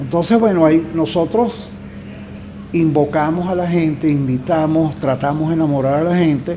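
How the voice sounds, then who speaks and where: Noticeable background noise sits alongside audible room echo in this recording. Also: man. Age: 70s. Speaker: journalist and environmental foundation founder. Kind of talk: podcast interview. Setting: studio, seated across from host.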